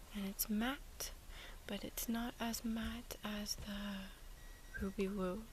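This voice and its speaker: This soft-spoken voice moves at a very slow pace. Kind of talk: ASMR soft-spoken show and tell.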